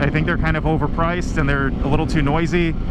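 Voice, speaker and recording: Over loud background noise, a man talks at a very fast pace, with a dry sound and no echo. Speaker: physician assistant student motovlogger. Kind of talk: casual vlog chat. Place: motorbike. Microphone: helmet.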